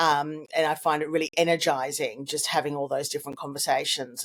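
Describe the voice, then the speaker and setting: With an Australian accent, a woman speaks at a fairly quick pace in a very deep, low voice. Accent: Australian, recently strengthened. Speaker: communications consultant. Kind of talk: interview. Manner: halting with repetitions.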